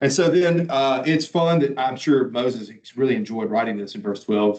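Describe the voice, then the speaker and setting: A man's unremarkable speaking voice, medium in pitch, with lively intonation. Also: moderate pace. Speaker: Bible teacher. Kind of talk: lecture.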